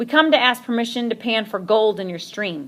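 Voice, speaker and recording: A put-on character voice growls along at a fairly quick pace. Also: female-sounding voice. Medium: read story. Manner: gruff, falsely courteous.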